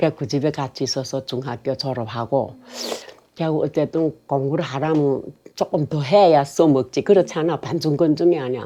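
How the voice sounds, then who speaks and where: A woman's very deep, low pitch, with ordinary pitch variation at a moderate pace. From Korean-Chinese, Yanbian region of China. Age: 80s+. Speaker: North Korean defector. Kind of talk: life story interview. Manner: halting.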